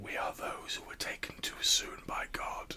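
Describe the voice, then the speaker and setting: A man whispers in a put-on character voice at a moderate pace. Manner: whispering, eerie.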